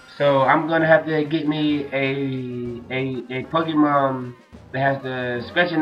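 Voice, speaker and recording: A man's fairly high voice with fairly even intonation over background music. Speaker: let's player. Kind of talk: gameplay commentary. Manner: casual, hesitant.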